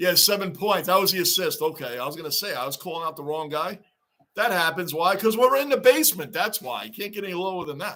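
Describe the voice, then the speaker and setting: A man with a New York accent talks very fast in a high, bright, sharp voice with an animated tone. His intonation is lively and his loudness swings widely. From Long Island, New York. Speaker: YouTube live streamer, hockey fan. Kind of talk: live-stream watch-along chat.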